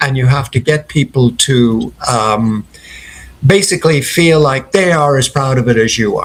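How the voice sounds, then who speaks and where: A medium-pitched, somewhat breathy man with a slight Irish accent, moderate in pace and ordinary in pitch variation. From Ireland (Dublin, family from Clare). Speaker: company founder. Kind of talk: interview.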